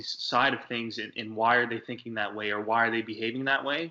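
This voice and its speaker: An ordinary speaking voice from a man, medium in pitch, with fairly even intonation. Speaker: podcast co-host. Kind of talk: casual interview. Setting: video call.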